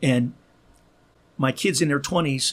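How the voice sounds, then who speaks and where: Fairly quick and somewhat breathy, a man talks at a fairly high pitch with ordinary pitch variation. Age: 60s. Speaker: podcaster and author. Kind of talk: casual chat. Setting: studio.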